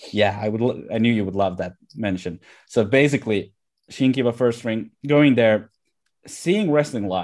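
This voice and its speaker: A man with a Finnish accent at medium pitch and a moderate pace, showing ordinary pitch variation, in a very clean recording with a silent background. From Finland, Kuopio and Lahti. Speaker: pro wrestling referee. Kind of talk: casual interview chat. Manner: halting, many filler words.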